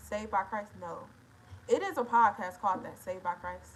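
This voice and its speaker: Speaking at a fairly quick pace, a woman uses a medium-pitched voice. She has an American accent. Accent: Detroit accent, noted by viewers. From Detroit, Michigan. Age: 20s. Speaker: livestreamer. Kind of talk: casual livestream chat reading comments.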